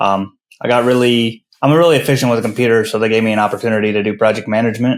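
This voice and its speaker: A man with an American accent and medium pitch talks at a very fast pace with fairly even intonation on a very clean recording with a silent background. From northern US. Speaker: construction finance consultant. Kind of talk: podcast interview.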